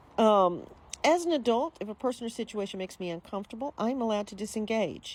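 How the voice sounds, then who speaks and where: A normal speaking voice from a woman with a fairly high pitch, lively intonation and a fairly quick pace. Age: 60s. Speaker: vlogger. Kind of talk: casual chat.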